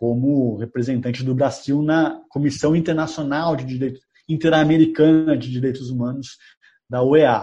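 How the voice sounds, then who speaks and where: A man talks in a somewhat breathy, dark, mellow tone at a fairly high pitch, keeping his intonation fairly even. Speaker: journalist and author. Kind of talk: interview.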